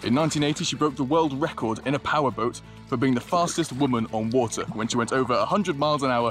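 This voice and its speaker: A man talks at a fairly quick pace with ordinary pitch variation. The sound is dry with no echo, and music plays clearly in the background. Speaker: wildlife photographer vlogger. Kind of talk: casual vlog narration to camera. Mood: lighthearted storytelling. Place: boat. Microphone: phone near.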